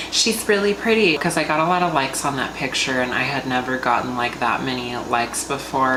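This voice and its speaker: A woman speaks with a very deep, low pitch and ordinary pitch variation. Audible room echo and noticeable background noise fill the recording. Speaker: drag performer and makeup vlogger. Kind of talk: casual vlog chat; makeup tutorial. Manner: quiet, soft-spoken.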